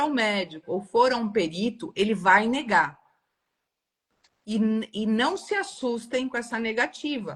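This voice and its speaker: A plain, everyday voice with lively intonation. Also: woman. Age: 60s. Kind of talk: live stream discussion. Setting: live video stream.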